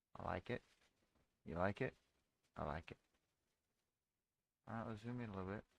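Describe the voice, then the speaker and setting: A soft-spoken man with a fairly low voice and ordinary pitch variation talks at a fairly quick pace with long, frequent pauses, in a dry, close sound with no echo. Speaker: day trader streamer. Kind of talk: live trading stream. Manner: casual.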